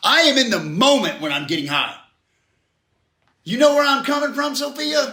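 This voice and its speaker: Raising and projecting his voice in audible room echo, a man speaks at an extremely high pitch and moderate pace, with an animated tone, ordinary pitch variation, and long, frequent pauses. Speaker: recovery speaker. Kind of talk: interactive group talk. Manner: loud. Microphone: far from the recorder.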